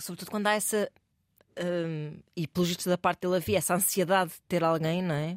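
Speaking at a fairly quick pace, a woman has a fairly low pitch, fairly even intonation, big swings in loudness and an unremarkable speaking voice. The sound is dry and close with no echo. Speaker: podcast co-host. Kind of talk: casual chat. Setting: studio.

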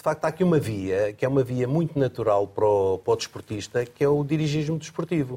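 Speaking at a very fast pace with hardly any pauses, a man with a fairly high pitch has a dark, mellow tone, a somewhat breathy quality, lively intonation and very even loudness. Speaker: former Olympic athlete and association president. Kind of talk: panel discussion. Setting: studio.

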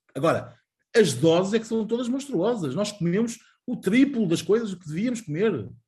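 A man talks at a fairly quick pace with very wide pitch swings, music playing in the background. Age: 40s. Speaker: journalist. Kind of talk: interview. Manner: halting.

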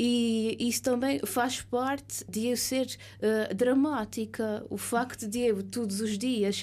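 A woman's dark, mellow voice with an Azorean accent, fairly high in pitch, very slow, with fairly even intonation, on a very clean recording with a silent background. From Azores, São Miguel. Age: 30s. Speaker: writer. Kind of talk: radio interview. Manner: halting, many fillers.

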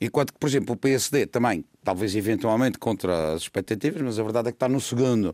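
With a very fast pace and hardly any pauses, a man of medium pitch and ordinary pitch variation speaks in a very clean recording with a silent background and a dry, close sound with no echo. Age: 60s. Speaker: political commentator. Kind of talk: political discussion.

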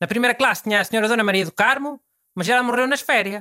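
The voice is raised and projected, with a bright, sharp tone and lively intonation, heard in a dry, close sound with no echo. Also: man. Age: 60s. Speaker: radio host. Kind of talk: casual chat.

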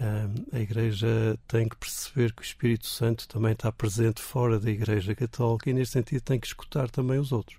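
This man has a dark, mellow tone that is somewhat breathy, with fairly even intonation at a fairly quick pace. The recording is very clean, with a silent background. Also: medium pitch for a man. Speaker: Anglican bishop. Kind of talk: radio interview.

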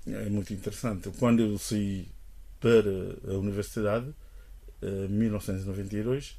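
A man speaks with a dark, mellow tone at a fairly low pitch. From Guinea-Bissau. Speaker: linguist. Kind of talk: interview. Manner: hesitant.

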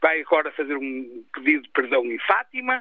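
Delivered at a fairly slow pace, the speech has very wide pitch swings. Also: man. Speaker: caller. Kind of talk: radio call-in opinion. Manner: animated.

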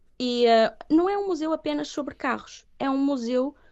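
Speaking fairly slowly, a woman uses a high pitch. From northern Portugal, Viana do Castelo. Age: 30s. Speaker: singer. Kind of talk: interview.

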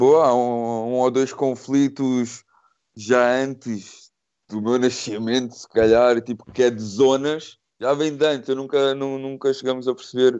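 A voice that jumps between loud and soft, delivered in a flat monotone at a fairly slow pace. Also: man, medium pitch for a man. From Portugal, Cascais area. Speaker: actor. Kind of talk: casual interview chat.

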